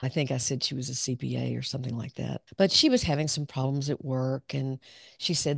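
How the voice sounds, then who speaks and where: A woman in a Southern US accent talks at a fairly quick pace, the sound dry and close with no echo against a quiet background. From US South, southern Arkansas. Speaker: clinical psychologist. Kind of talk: interview conversation.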